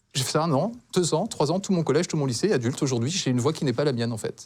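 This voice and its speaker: A man's somewhat breathy, fairly high voice, with lively intonation and a very fast pace broken by long, frequent pauses. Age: 40s. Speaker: talk show guest. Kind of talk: testimony. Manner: halting.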